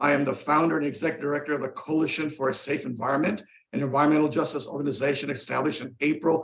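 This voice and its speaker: Here a man talks with an American accent. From Los Angeles, California. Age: 70s. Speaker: environmental justice activist. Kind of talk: public comment at hearing.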